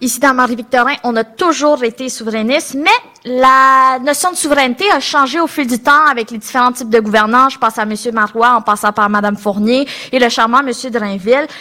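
A woman's high-pitched voice with ordinary pitch variation at a fairly quick pace. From Quebec, Longueuil area. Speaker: political candidate. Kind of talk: political debate.

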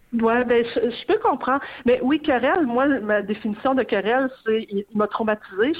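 The speech moves at a fairly slow pace with ordinary pitch variation. Its loudness stays very even. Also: woman, high pitch for a woman. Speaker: arts journalist. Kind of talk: casual radio interview about books.

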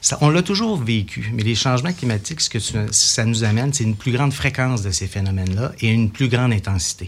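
Against noticeable background noise, a man with a Quebec accent speaks with ordinary pitch variation. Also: medium pitch for a man, fairly quick pace. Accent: Québécois French. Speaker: civil security division chief. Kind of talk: radio interview. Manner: formal.

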